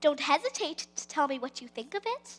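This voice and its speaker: The speaker puts on a character voice and moves at a fairly quick pace. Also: woman. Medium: stage play. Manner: smooth, ingratiating.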